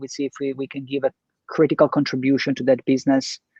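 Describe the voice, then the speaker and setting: The speaker has an Italian accent. The pace is very fast. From Italy. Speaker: entrepreneur, business co-founder. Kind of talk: podcast interview. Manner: halting, many fillers and restarts.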